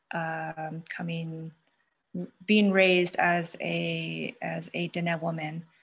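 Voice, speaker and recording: Speaking with an American accent, a woman with a fairly low, somewhat breathy voice talks at a very slow pace in a monotone, flat intonation. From Navajo Nation, northern Arizona. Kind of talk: panel discussion. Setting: online panel.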